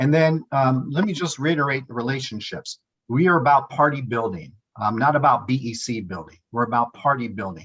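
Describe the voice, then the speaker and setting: A man talks at a fairly quick pace, his medium-pitched voice carrying lively intonation. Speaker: political organizer. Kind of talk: presentation. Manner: fast.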